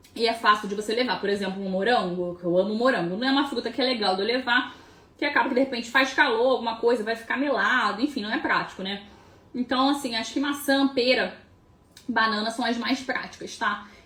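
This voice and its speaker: A woman's fairly high voice at a fairly quick pace with ordinary pitch variation, over noticeable background noise. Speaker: nutritionist. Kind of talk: live stream Q&A tutorial. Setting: live stream. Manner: fast; casual, filler-heavy.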